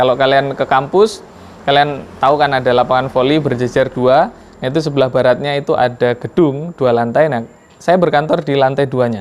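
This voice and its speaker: A man with a strong Javanese accent, fairly high pitch, fairly even intonation and a fairly quick pace. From Lampung, Sumatra, Indonesia (Javanese family). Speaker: university lecturer. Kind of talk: lecture. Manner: hesitant fillers.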